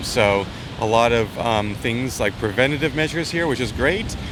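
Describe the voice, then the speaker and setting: Over noticeable background noise and audible room echo, a man of medium pitch talks at a fairly quick pace with ordinary pitch variation. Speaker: travel vlogger. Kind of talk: casual vlog. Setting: outdoors on a beach. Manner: fast.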